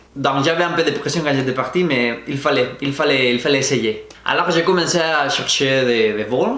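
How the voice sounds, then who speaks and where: A man with a Spanish accent speaks at a moderate pace in a fairly high voice, with audible room echo and noticeable background noise. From Spain, Valencia region. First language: Spanish (speaking French). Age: 20s. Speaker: vlogger. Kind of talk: personal storytelling to camera. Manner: halting, with frequent hesitations.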